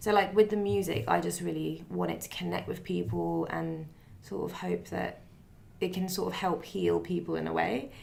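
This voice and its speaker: A woman speaks with an English accent at a moderate pace. Room echo is audible. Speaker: singer-songwriter. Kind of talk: interview.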